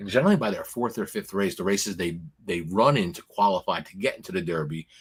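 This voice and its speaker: A man talks in an animated tone with an American accent, his pitch swinging very widely at a moderate pace. The recording is very clean, with a silent background. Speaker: horse racing betting analyst. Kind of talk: casual betting preview chat. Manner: animated, repetitive stammering.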